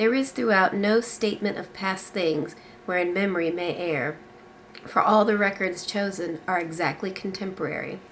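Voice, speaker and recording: Amid noticeable background noise, a woman talks at a moderate pace in a medium pitch with ordinary pitch variation. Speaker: book reviewer. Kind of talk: reading aloud from a novel.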